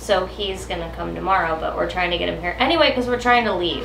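Light background noise can be heard. There is audible room echo. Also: woman. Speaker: boat-living vlogger. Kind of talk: casual vlog chat. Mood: mildly frustrated. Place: boat. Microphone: camera far.

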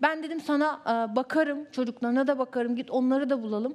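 A woman's high-pitched voice with ordinary pitch variation, at a fairly quick pace. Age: 20s. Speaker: reality show participant; talk show guest. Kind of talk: heated debate. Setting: TV studio. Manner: animated. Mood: upset, aggrieved about family. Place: studio. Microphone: headset.

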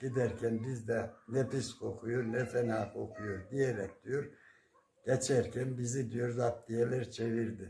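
A man speaks very slowly in a flat monotone at medium pitch, with audible room echo and light background noise. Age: 70s. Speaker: retired primary school teacher. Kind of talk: interview; folk tale storytelling. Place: home room. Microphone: phone near.

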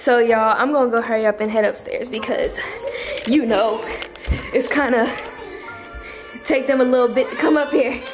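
A woman talks at a moderate pace in a high pitch, with ordinary pitch variation and long, frequent pauses. Music plays clearly in the background. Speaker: vlogger filming the tour. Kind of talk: casual vlog chat. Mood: excited, upbeat. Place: home room. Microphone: phone near.

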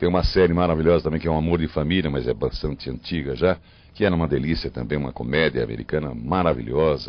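A man with a very deep, low pitch. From Botucatu, São Paulo, Brazil. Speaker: voice actor and dubbing director. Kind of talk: interview answer. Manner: casual, relaxed. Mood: warm, fond, relaxed. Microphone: handheld.

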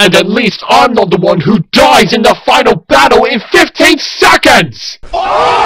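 A high-pitched man's raised, projected voice at a fairly slow pace, with crowd noise in the background. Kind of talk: rivalry confrontation. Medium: machinima. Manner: angry, contemptuous, shouting.

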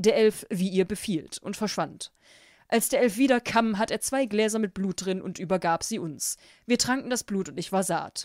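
At a moderate pace and medium pitch, a woman talks in an animated tone with ordinary pitch variation, the sound dry and close with no echo on a very clean recording with a silent background. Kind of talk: horror story audiobook narration. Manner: animated, switching between character voices.

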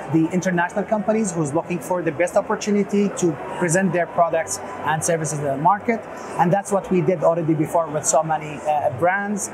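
Against noticeable background noise, a man with a high pitch speaks at a fairly quick pace with fairly even intonation. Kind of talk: interview answer. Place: hall. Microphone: lapel.

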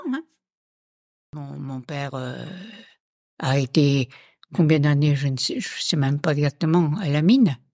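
A woman's very deep, low voice with a dark, mellow tone, fairly slow and fairly even in intonation, marked by big swings in loudness and long, frequent pauses. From Montceau-les-Mines, Burgundy, France. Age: 80s+. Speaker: retired local resident, miner's daughter. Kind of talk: casual testimony.

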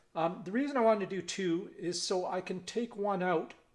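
A man speaks with a high pitch over a quiet background. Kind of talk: tutorial. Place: workshop.

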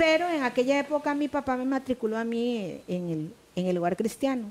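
A woman with a Costa Rican accent, lively intonation and a fairly quick pace. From Costa Rica, Puntarenas. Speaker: retired schoolteacher. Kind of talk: interview. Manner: distinctive conversational rhythm. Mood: warm, nostalgic storytelling. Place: studio. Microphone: headset.

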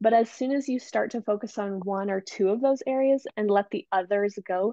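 A woman talks at a moderate pace, the sound dry with no echo against a quiet background. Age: 20s. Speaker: entrepreneur and business coach; business coach. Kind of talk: interview podcast. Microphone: earbuds.

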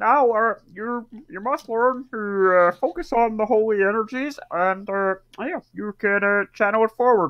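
A croaky, female-sounding put-on character voice, fairly high in pitch and fairly slow in pace. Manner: solemn.

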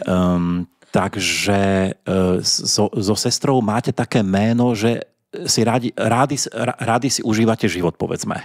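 Speaking at a fairly slow pace, a man with a fairly low pitch and ordinary pitch variation keeps his loudness very even in a dry, close sound with no echo. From Slovakia. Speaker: podcast host. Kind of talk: casual chat; outro announcement.

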